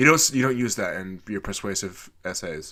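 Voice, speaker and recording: A man speaks in an animated tone with lively intonation. His pitch is fairly low, and his tone is bright and sharp. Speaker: gaming YouTuber. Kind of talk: let's play commentary. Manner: casual, animated.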